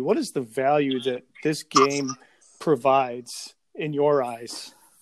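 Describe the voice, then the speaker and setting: Here is a man with an American accent and a fairly high pitch. He talks at a very slow pace with fairly even intonation. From Chicago area. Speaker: podcast host. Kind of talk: interview.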